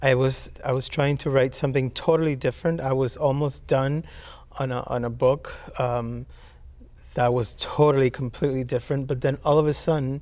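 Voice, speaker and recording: With a Spanish accent, a man talks at a moderate pace in a medium-pitched voice with monotone, flat intonation. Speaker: poet. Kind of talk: interview. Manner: halting, many fillers.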